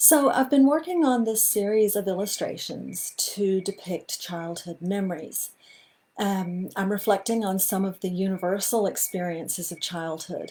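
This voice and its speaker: Here a woman speaks with a Southern US accent at a moderate pace. Her voice has a medium pitch and a dark, mellow tone. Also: ordinary pitch variation. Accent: American Southern. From US Deep South. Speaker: illustrator. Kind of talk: live talk to online audience. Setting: livestream.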